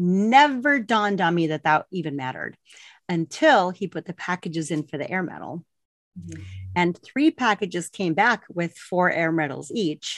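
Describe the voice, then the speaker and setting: A woman uses a normal speaking voice at a fairly low pitch and a moderate pace, with lively intonation and big swings in loudness. The sound is dry and close with no echo, over a quiet background. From Colorado, US, Mexican-American family. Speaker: former Air Force navigator, author and publisher. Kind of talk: interview.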